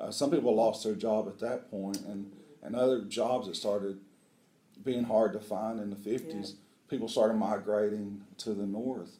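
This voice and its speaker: The speaker has an Appalachian accent and a moderate pace. Intonation stays fairly even, with audible room echo. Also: man, fairly low pitch for a man. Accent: Appalachian Southern US. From US South, southeast Kentucky (Appalachia). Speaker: veterinary school dean. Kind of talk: interview. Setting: on location at a university.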